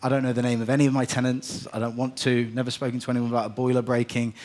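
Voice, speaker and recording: A man is talking. His pitch sits in the medium range. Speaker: property investment executive. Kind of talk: conference presentation. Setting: stage with live audience. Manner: fast.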